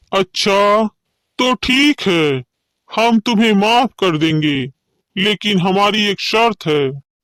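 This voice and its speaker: A man does a cartoonish character voice at a high pitch with lively intonation. He speaks at a very slow pace with very even loudness. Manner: commanding, haughty.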